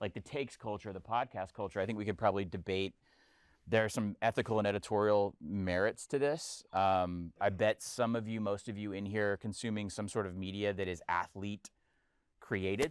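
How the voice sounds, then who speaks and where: A man's ordinary speaking voice, fairly low with ordinary pitch variation and a fairly quick pace, on a very clean recording with a silent background and dry, close sound with no echo. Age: 40s. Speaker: sports columnist and podcaster. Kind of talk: panel discussion.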